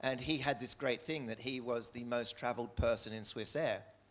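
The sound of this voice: A man speaks in an Australian accent. His pace is fairly quick.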